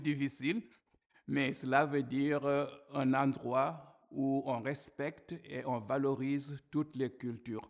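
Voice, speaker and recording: A man's fairly high-pitched voice with an African accent, very slow pace and fairly even intonation. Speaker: church minister. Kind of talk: testimony talk to camera.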